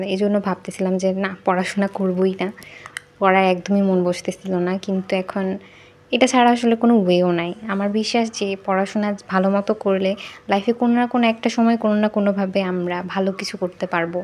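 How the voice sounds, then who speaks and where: A medium-pitched woman with a Bangladeshi accent, monotone and flat in intonation, over noticeable background noise. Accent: Bangladeshi Bengali. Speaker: university student. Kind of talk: casual study vlog talk to camera.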